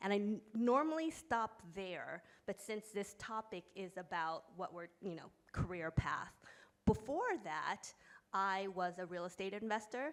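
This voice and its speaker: A woman's fairly slow delivery, with lively intonation and big swings in loudness. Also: medium pitch for a woman. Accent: New York. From US, New York. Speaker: company founder and author. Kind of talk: panel discussion.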